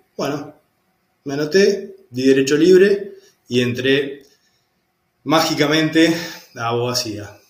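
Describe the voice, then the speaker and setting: Very slow, lively intonation and long, frequent pauses, all carried by audible room echo. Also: man, fairly high pitch for a man. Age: 40s. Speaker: lawyer turned architecture student. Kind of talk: interview testimony.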